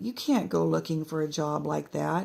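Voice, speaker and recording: The raspy, put-on character voice moves at a moderate pace. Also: female-sounding voice. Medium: read story. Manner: blunt, colloquial.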